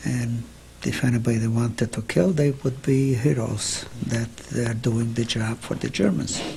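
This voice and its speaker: A man's medium-pitched voice at a fairly slow pace, with ordinary pitch variation and noticeable background noise. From Carpathian Ruthenia, Czechoslovakia. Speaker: Holocaust survivor. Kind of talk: interview answer.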